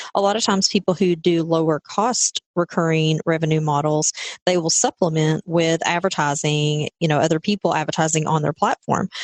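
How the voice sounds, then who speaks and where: A woman with a Southern US accent at a fairly quick pace, fairly low in pitch, with very even loudness, hardly any pauses, fairly even intonation and a dry, close sound with no echo. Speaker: podcast co-host. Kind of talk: casual podcast conversation.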